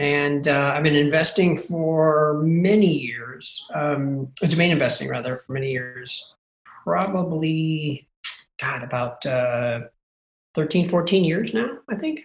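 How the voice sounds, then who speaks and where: A somewhat breathy man speaks at a very slow pace. His pitch is fairly high, with ordinary pitch variation. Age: 40s. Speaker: domain investor and lead generation business owner. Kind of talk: casual interview.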